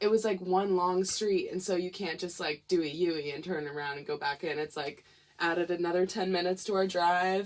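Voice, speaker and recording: A woman with a Missouri accent speaks at medium pitch and a moderate pace with fairly even intonation. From Missouri, St. Louis. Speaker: musician. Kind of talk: casual chat.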